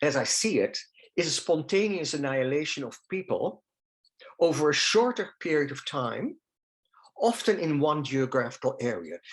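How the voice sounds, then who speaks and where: In a Dutch accent, a man with a fairly high voice speaks with lively intonation. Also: moderate pace. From Netherlands. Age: 70s. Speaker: holocaust survivor speaker. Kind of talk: testimony. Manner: halting.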